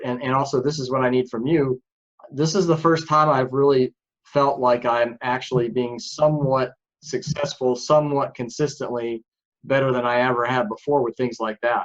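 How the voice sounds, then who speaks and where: This man has an ordinary speaking voice at a medium pitch. He keeps a moderate pace and fairly even intonation. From northern New York. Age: 60s. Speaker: author on men's personal growth. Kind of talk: podcast interview.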